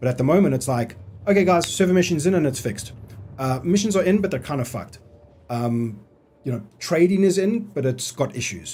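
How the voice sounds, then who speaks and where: A man talks fairly quickly in a fairly high pitch with very wide swings, his dark, mellow tone somewhat breathy. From South Africa. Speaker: gaming streamer. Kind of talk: live stream gameplay commentary. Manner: casual, animated.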